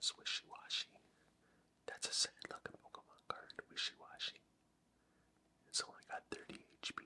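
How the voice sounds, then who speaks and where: Whispering at a moderate pace with long, frequent pauses, a man comes through in a dry, close sound with no echo. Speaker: ASMR creator. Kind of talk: ASMR show and tell. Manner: whispered.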